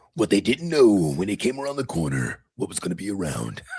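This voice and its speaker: Putting on a character voice, a man speaks with a fairly low pitch and very wide pitch swings. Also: fairly quick pace. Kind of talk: dramatic trailer narration.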